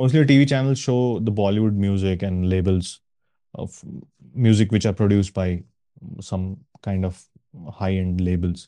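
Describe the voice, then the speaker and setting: A man speaks at a moderate pace with fairly low pitch and a dark, mellow tone. Long, frequent pauses fall over a quiet background. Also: ordinary pitch variation. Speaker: podcast co-host. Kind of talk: casual chat. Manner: animated.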